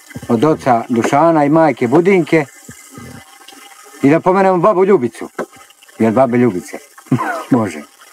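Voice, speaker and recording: With noticeable background noise behind him, a man talks using lively intonation. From Serbia, Šumadija (village near Gornji Milanovac). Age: 50s. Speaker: village postman. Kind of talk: documentary interview. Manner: halting, with fillers.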